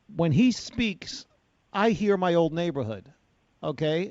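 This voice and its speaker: Here is a man with a New York accent. His voice sits at a high pitch. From New York City, Bronx. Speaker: talk radio host. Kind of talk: radio talk show discussion. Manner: gruff, unpolished.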